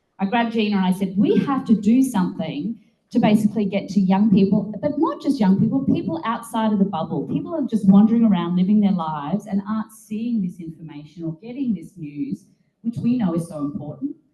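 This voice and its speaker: In an Australian accent, a woman talks at a fairly quick pace. Her medium-pitched voice has lively intonation. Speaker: political activist and media co-founder. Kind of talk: speech to a meeting. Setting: meeting room with audience. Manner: casual, animated.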